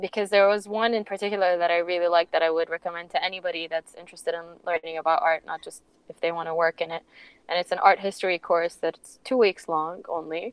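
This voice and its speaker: A woman talks very fast at a medium pitch. Her intonation stays fairly even. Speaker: art curator. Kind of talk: casual interview. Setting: remote call.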